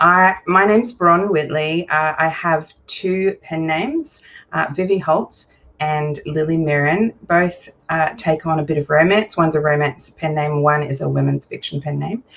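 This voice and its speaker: The speaker has an Australian accent and a moderate pace. Pitch varies in an ordinary way. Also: woman, very deep, low pitch for a woman. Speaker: romance author. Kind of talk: casual chat.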